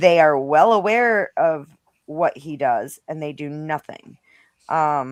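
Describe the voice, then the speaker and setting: Against a quiet background, a woman with a very deep, low voice speaks at a very slow pace, with ordinary pitch variation and big swings in loudness. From Rhode Island. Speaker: stream panel guest. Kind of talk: heated casual discussion.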